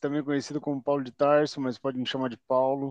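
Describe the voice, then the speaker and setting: Fairly high in pitch for a man, his voice has a dark, mellow tone over a quiet background. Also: dry, close sound with no echo. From Curitiba, southern Brazil. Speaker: podcast co-host, civil servant. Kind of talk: casual chat.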